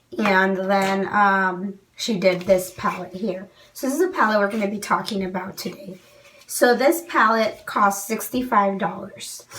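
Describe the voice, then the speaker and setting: A woman talks at a fairly slow pace with ordinary pitch variation, against noticeable background noise and audible room echo. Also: medium pitch for a woman. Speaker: beauty YouTuber. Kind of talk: product review. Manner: casual, with many fillers.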